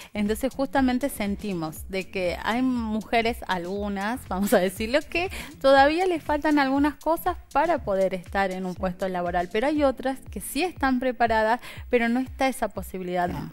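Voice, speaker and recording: This is a plain, everyday voice. It moves at a moderate pace with lively intonation. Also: woman. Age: 30s. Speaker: interview guest. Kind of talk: interview. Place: studio. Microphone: headset.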